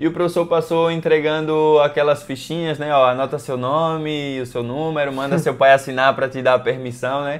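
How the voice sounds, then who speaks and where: A man talks at a moderate pace with hardly any pauses. His fairly high voice stays monotone and flat. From Brazil, Maceió, Alagoas (Northeast). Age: 20s. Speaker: professional handball player. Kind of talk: interview. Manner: casual, with many fillers and repetitions.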